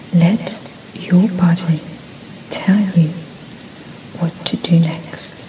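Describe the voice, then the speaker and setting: A soft-spoken woman with a soothing tone, fairly low pitch and monotone, flat intonation amid noticeable background noise. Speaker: reiki practitioner. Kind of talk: reiki session for sleep, guided relaxation. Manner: soft-spoken, slow, soothing.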